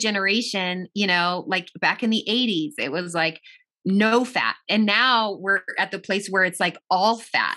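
Her tone is bright and sharp, and the woman's pitch sits in the medium range. She speaks at a moderate pace with ordinary pitch variation. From US, child of Italian and Argentine immigrants. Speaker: minister and personal trainer, author. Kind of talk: casual interview.

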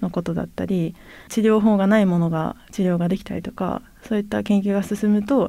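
Delivered at a moderate pace, the dark, mellow tone comes through on a very clean recording with a silent background. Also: woman. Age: 30s. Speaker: geneticist and startup founder. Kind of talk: interview conversation. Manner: calm, not loud; composed, even-toned.

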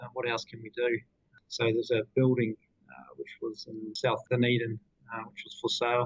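A New Zealand accent at a moderate pace, somewhat breathy and in a monotone, flat intonation, with long, frequent pauses and big swings in loudness. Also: man, medium pitch for a man. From New Zealand, Queenstown. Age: 30s. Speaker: company director. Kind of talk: interview.

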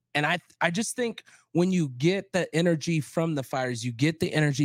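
In a very clean recording with a silent background, dry and close with no echo, a man speaks fairly slowly in an unremarkable speaking voice, fairly high in pitch with ordinary pitch variation. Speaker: podcast host and DJ. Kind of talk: casual chat.

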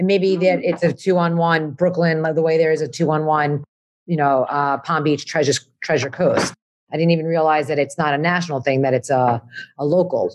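A woman talks at a fairly quick pace. Her voice is very deep and low, with fairly even intonation. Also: very even loudness. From Long Island, New York. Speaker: community member. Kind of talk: panel discussion.

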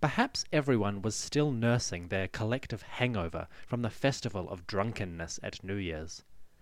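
A man speaks at a moderate pace with hardly any pauses. He has a plain, everyday voice with lively intonation. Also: fairly low pitch for a man. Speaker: podcast host. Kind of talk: history documentary narration. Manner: measured, formal, steady storytelling pace; clear, authoritative, explanatory.

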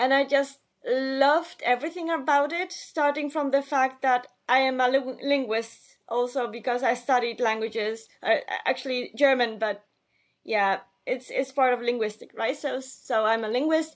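A woman's high-pitched voice in a Polish accent, with ordinary pitch variation at a moderate pace. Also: very clean recording, silent background. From Poland, Warsaw. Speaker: writer and journalist. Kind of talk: interview. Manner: hesitant, with fillers.

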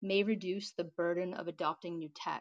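An ordinary speaking voice. It moves at a moderate pace. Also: woman. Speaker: audience participant. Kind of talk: casual chat. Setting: live audio chat room.

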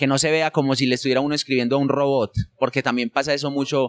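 A man has an ordinary speaking voice, fairly high in pitch with fairly even intonation and a dry, close sound with no echo. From Colombia, rural Antioquia near Medellín. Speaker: SEO specialist. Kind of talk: interview conversation.

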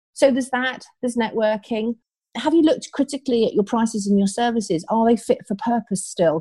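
Against a quiet background, a woman speaks at a fairly quick pace with lively intonation and a dark, mellow, somewhat breathy tone. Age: 50s. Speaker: business coach. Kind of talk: podcast interview. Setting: recording from home.

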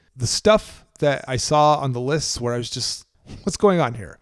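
A man with an unremarkable speaking voice, fairly high in pitch, talks at a fairly slow pace with lively intonation on a very clean recording with a silent background. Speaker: podcast co-host. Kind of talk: casual podcast chat, solo segment. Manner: jokey, self-deprecating.

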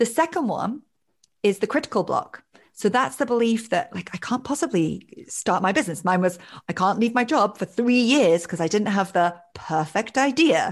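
Against a quiet background, a woman with a fairly high pitch talks at a moderate pace with very wide pitch swings. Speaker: life coach. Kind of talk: casual interview.

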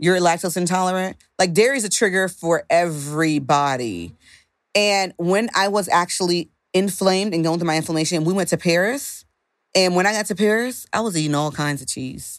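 A woman speaks at a fairly quick pace in a fairly low pitch, with ordinary pitch variation. The recording is very clean, with a silent background. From Haitian American, raised in a Haitian household. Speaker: dietitian and nutritionist. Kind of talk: casual interview.

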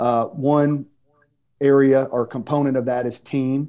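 A man with a Southern US accent speaks at a fairly high pitch in a dark, mellow tone. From US South, Mississippi. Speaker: pastor and author. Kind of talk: interview, casual conversation.

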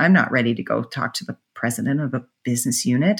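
Speaking with an American accent, a woman with a very deep, low voice moves at a fairly quick pace with lively intonation. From Pittsburgh, Pennsylvania. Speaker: corporate procurement executive. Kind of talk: interview.

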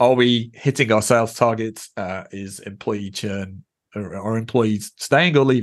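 An ordinary speaking voice moves at a fairly slow pace, with big swings in loudness. Pitch varies in an ordinary way, and the background is quiet. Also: man, medium pitch for a man. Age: 50s. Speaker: data visualisation evangelist at a tech company. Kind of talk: podcast interview.

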